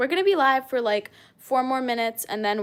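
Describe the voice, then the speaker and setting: This very clean recording, with its silent background, carries a woman's voice. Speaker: snake-keeping live streamer. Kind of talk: live stream Q&A chat. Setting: live stream on camera. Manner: casual, hesitant with fillers.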